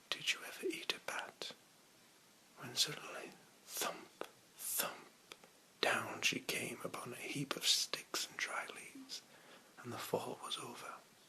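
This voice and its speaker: Whispering in a soothing tone with a British accent, a man goes at a fairly slow pace with long, frequent pauses amid noticeable background noise. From England. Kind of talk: ASMR book reading. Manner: whispered, soothing.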